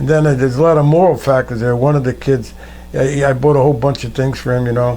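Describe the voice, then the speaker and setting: A medium-pitched man with an American accent, monotone and flat, at a very fast pace, with audible room echo. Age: 80s+. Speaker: war veteran. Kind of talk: oral history interview. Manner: conversational storytelling.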